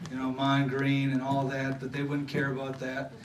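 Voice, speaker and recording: A man with a fairly high pitch and a Southern US accent, amid noticeable background noise and audible room echo. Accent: picked-up Southern. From Wisconsin (Thorpe). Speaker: former pro football player, banquet speaker. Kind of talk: motivational speech. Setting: banquet stage with audience. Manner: halting, many fillers.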